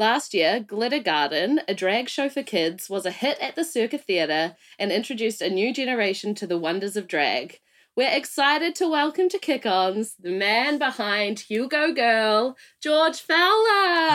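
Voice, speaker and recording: Speaking in a New Zealand accent, a woman keeps a moderate pace. Her fairly high pitch moves in very wide swings. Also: very clean recording, silent background. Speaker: podcast host. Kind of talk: polished presenter. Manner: theatrical, puts on a character for intros.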